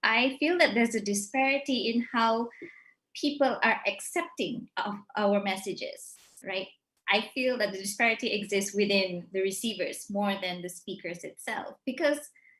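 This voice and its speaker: Ordinary pitch variation and a fairly high pitch mark this woman's speech, which moves at a moderate pace. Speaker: communication lecturer. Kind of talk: panel discussion. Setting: livestream. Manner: not loud.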